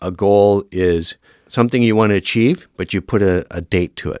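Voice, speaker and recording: A man with a Canadian accent and an ordinary speaking voice, fairly low in pitch at a moderate pace, in a dry, close sound with no echo on a very clean recording with a silent background. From Northern Ontario, Canada. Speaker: firefighter and fire academy instructor. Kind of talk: podcast interview.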